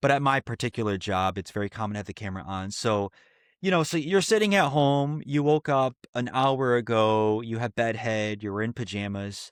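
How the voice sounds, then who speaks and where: A man talks in a normal speaking voice at medium pitch with ordinary pitch variation. The sound is dry and close with no echo, over a quiet background. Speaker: podcast co-host. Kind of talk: casual chat.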